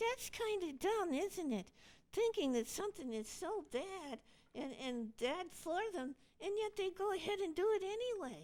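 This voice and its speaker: This cartoonish character voice moves along at a moderate pace. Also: female-sounding voice, extremely high pitch for a woman. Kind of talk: church puppet skit dialogue.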